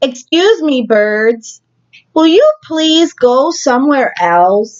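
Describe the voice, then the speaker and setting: The put-on character voice drags along at a very slow pace. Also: woman, high pitch for a woman. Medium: read story. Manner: anxious, fretful.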